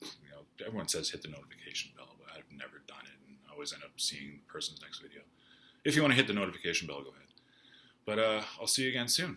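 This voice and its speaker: A man's bright, sharp tone at medium pitch, very fast, with vocal fry, very wide pitch swings and big swings in loudness. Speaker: YouTuber recounting music history. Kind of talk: casual personal vlog. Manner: halting with many fillers.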